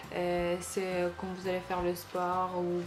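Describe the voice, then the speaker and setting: With a non-native accent, a woman speaks at medium pitch and a very slow pace. Audible room echo and music in the background fill the recording. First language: not French (speaking French). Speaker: beauty and shopping vlogger. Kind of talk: product haul video. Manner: hesitant, many fillers.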